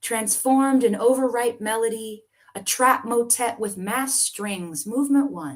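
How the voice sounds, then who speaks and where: A woman with an American accent speaks at a fairly slow pace in fairly high pitch, with an ordinary speaking voice. Her intonation is lively, and her loudness swings widely. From US South. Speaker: poet. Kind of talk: casual chat; poetry reading.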